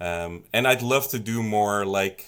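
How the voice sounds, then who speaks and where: Recorded very cleanly with a silent background, a man with a slight Dutch accent speaks at a fairly low pitch with ordinary pitch variation. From Netherlands. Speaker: song contest committee member, stream co-host. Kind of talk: livestream panel Q&A. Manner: halting, many fillers.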